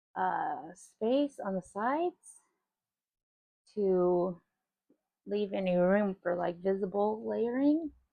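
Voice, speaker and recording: A soft-spoken woman talks at a very slow pace with long, frequent pauses. Her pitch is medium for a woman and her intonation is lively. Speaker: resin craft youtuber. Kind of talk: casual craft tutorial. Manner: quiet.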